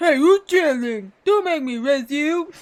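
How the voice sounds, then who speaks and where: In a put-on character voice, the speaker uses a high pitch at a fairly slow pace. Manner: jolly.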